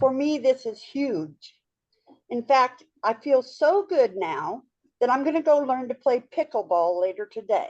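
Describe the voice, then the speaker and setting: The pace is fairly slow. The pitch makes very wide swings. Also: woman, high pitch for a woman. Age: 60s. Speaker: webinar participant sharing testimonial. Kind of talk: testimony.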